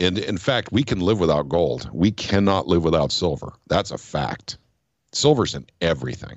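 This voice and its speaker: A man's very deep, low voice with vocal fry, at a moderate pace. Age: 50s. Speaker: political activist. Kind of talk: casual chat.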